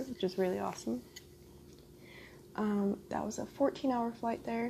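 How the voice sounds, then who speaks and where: A soft-spoken woman talks at a fairly high pitch. Noticeable background noise runs underneath. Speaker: ASMR mukbang YouTuber. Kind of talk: casual talk to camera while eating.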